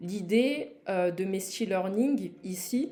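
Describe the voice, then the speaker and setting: Her voice is dark and mellow, a woman's at medium pitch. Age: 20s. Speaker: e-learning platform founder. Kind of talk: live product launch presentation. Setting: livestream. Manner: hesitant, many fillers.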